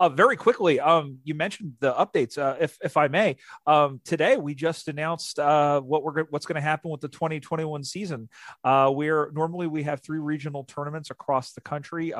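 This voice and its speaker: A man's plain, everyday voice at a fairly high pitch and fairly quick pace, with big swings in loudness, in a dry, close sound with no echo and a very clean recording with a silent background. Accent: American. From US, Philadelphia. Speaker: sports league media coordinator and play-by-play announcer. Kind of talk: interview.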